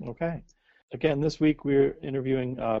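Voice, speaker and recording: A man speaks in a normal speaking voice at a medium pitch. His intonation is fairly even and his pace fairly quick. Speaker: podcast co-host. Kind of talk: interview conversation.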